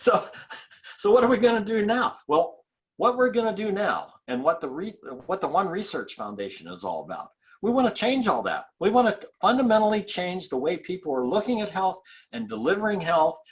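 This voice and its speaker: Lively intonation from a man speaking fairly quickly at a high pitch. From rural Appalachia near West Virginia border. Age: 70s. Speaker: chiropractor and technique founder. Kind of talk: interview conversation. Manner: animated.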